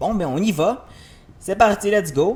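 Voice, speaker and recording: A man speaks at a fairly slow pace with a Quebec accent. Noticeable background noise runs under his voice. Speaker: gaming youtuber. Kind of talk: let's play commentary. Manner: animated.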